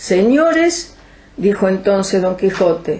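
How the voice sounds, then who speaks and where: With noticeable background noise behind her, a woman with a Rioplatense accent speaks at a very slow pace. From Argentina. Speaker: writer and poet. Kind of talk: literary reading in lunfardo slang.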